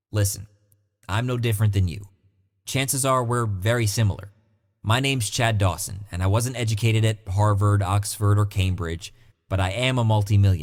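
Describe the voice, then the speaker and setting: A man speaks at a fairly quick pace, his pitch fairly low and his intonation fairly even. His voice is somewhat breathy on a very clean recording with a silent background. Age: 20s. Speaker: online money-making promoter. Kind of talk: sales pitch. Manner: fast.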